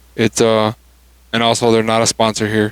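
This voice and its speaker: A man speaks quietly at a fairly quick pace. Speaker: podcast host. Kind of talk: casual chat. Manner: halting.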